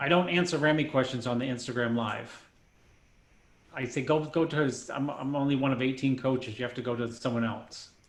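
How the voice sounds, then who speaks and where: With audible room echo, a man of medium pitch talks at a fairly quick pace in a fairly even intonation. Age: 50s. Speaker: bodybuilding coach. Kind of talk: casual chat.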